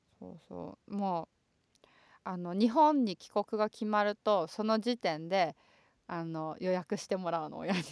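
The voice has an animated tone, a fairly slow pace, ordinary pitch variation and big swings in loudness, captured in a very clean, silent-background recording that is dry and close with no echo. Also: woman, medium pitch for a woman. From Japan, Chofu (western Tokyo suburb). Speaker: podcast co-host. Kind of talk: casual bilingual chat. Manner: animated, frequent laughter.

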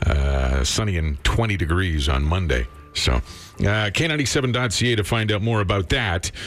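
A man speaks very slowly with a very deep, low pitch, his loudness very even yet his pitch swinging very widely. Noticeable background noise sits behind him. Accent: Canadian. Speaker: radio host. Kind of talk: morning radio show. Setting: studio.

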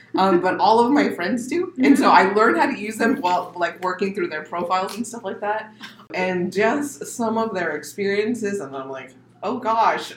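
Speaking with an American accent at a moderate pace, a woman of medium pitch makes very wide pitch swings and big swings in loudness over noticeable background noise. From US Southwest desert, Arizona. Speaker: poet. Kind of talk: casual chat; poetry reading.

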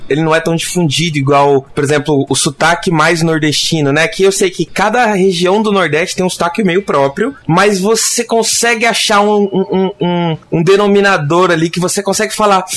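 A man with a high voice talks at a moderate pace with hardly any pauses and ordinary pitch variation. His loudness is very even over noticeable background noise. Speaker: software developer. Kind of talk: casual panel discussion. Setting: remote, video call.

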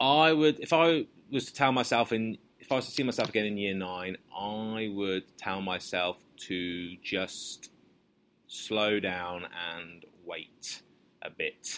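Moving at a very slow pace, a man speaks in a fairly low pitch with lively intonation. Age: 30s. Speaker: history teacher. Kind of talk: interview answers. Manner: casual, hesitant with fillers.

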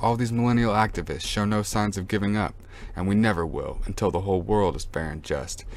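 Talking at a very fast pace, a man with a fairly low pitch sounds passionate while his intonation stays fairly even. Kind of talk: spoken word poem. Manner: rhythmic, rhyming delivery; passionate, defiant, rapid-fire.

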